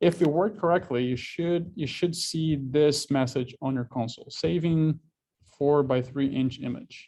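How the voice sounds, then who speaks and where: A man with a Portuguese accent, a dark, mellow tone, fairly high pitch, ordinary pitch variation and a moderate pace. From Brazil. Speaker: university instructor. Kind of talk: lecture.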